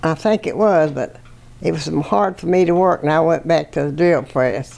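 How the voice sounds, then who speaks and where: With a Virginia accent, a woman speaks at a moderate pace in a very deep, low pitch with ordinary pitch variation. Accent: rural Virginia Southern US. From Virginia, US South. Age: 80s+. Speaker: World War II factory worker. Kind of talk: interview.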